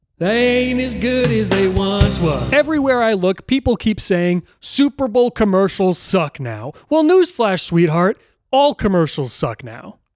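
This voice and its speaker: Music plays in the background as a man speaks at a fairly slow pace, his pitch swinging very widely. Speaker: comedy youtuber. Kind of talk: comedic commentary to camera. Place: home room. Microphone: handheld.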